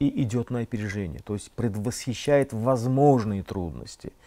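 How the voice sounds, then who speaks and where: Lively in intonation, a man at a medium pitch speaks with a dark, mellow tone. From Azerbaijan. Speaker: political scientist; guest. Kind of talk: TV studio interview. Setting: TV studio. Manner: formal. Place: studio. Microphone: lapel.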